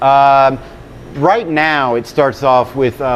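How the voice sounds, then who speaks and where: A man talks with an American accent and fairly even intonation. Noticeable background noise is present. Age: 40s. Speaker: stand-up comedian. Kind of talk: casual interview. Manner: fast.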